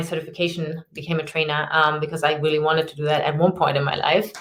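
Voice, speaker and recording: A woman with a German accent talks at a fairly quick pace. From Germany. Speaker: personal trainer and fitness consultant. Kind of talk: podcast interview. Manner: hesitant, many filler ums.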